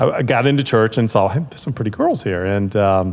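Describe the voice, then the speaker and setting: A fairly low-pitched male voice comes through noticeable background noise. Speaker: restaurant franchise owner. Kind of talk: casual chat. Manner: halting.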